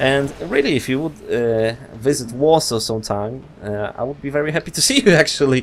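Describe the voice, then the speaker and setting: A man with a Polish accent, medium pitch and ordinary pitch variation, at a fairly quick pace. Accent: Polish accent, non-native English. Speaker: gaming youtuber. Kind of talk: interview. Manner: halting, many fillers.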